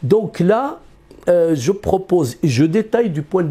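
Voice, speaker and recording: A man's high voice with a dark, mellow tone, lively intonation and a fairly slow pace. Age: 60s. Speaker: economist. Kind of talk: interview. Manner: halting, many repetitions.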